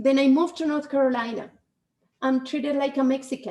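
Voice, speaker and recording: Her pitch is high and her pace fairly quick. The woman speaks in a Spanish accent. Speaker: podcast host. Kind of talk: casual chat.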